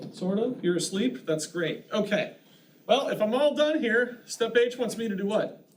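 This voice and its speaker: A man with extremely high pitch over noticeable background noise. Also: ordinary pitch variation, moderate pace. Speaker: college instructor. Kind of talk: lecture. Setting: classroom with students.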